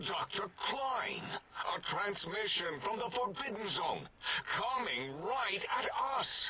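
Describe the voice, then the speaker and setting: Against clear background noise, a man puts on a high-pitched character voice and speaks at a fairly slow pace. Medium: video game. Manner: pompous, bombastic.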